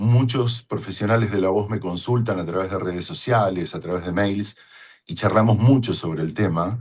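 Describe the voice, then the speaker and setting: Somewhat breathy speech against a quiet background. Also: man. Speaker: voice-over announcer. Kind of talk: talk to fellow voice professionals. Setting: home studio.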